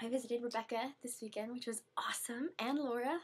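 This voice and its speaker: Soft-spoken, a woman talks at a moderate pace. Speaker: video blogger. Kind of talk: casual vlog chat. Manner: many filler ums. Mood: cheerful, slightly awkward. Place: home room. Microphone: recordings come out quiet; webcam.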